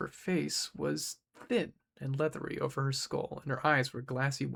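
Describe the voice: Against a quiet background, this is plain reading aloud.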